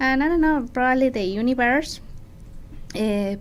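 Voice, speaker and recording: In a Mexican accent, a woman talks at a moderate pace amid audible room echo and noticeable background noise. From Mexico City, Mexico. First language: Spanish. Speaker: makeup artist. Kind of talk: interview. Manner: halting.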